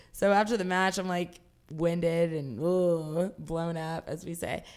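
A woman with a normal speaking voice and an American accent talks at a moderate pace and fairly low pitch. Her intonation is fairly even, and the recording is very clean with a silent background. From Jacksonville, Florida. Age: 30s. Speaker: pro wrestler. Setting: seated, with a broken tailbone.

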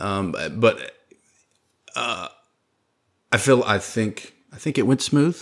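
With a Southern US accent, a man talks in an animated tone on a very clean recording with a silent background. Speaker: podcast host. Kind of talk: casual chat. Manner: animated, joking.

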